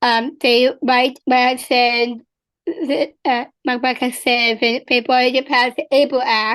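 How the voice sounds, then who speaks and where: With an American accent, a woman speaks in a high pitch at a fairly slow pace, her loudness very even. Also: fairly even intonation. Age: 20s. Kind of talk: interview answer.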